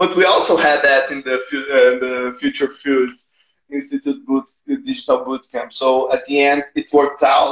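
In a room with audible echo but a quiet background, a man speaks with a Portuguese accent. His pace is fairly slow. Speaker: NGO innovation manager; interview guest. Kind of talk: interview. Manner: halting, repeats words. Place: home room. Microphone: earbuds.

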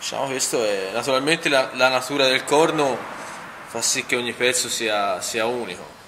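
A man speaks in a medium pitch with ordinary pitch variation. There is noticeable background noise. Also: moderate pace. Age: 30s. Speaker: knife maker. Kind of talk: workshop demonstration. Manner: halting, with repeated words. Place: workshop. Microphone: phone near.

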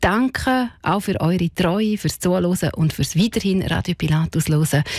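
A woman with a Graubünden accent, fairly low in pitch and somewhat breathy, lively in intonation with very even loudness, at a moderate pace in a quiet background and a dry sound with no echo. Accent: Swiss German, Graubünden dialect. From Graubünden, Switzerland. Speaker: radio host. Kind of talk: radio presenting, farewell on air. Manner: warm, cheerful. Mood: warm, wistful farewell. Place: studio. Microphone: studio mic.

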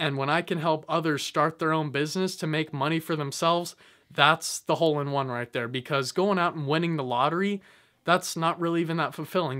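A man speaks at a fairly quick pace in a fairly high pitch, his intonation fairly even against a quiet background. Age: 20s. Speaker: YouTuber giving business motivation. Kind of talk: motivational monologue to camera. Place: home room. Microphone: phone near.

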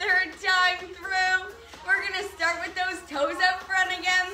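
A woman speaks in a raised, projected voice at a very slow pace with ordinary pitch variation. Clear music plays in the background. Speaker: fitness instructor. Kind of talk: workout instruction. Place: open country. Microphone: camera far.

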